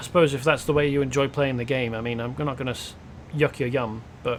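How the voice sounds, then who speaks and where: The voice carries a British accent and moves at a very fast pace. Its intonation stays fairly even. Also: man. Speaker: video game streamer. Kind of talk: casual gameplay commentary.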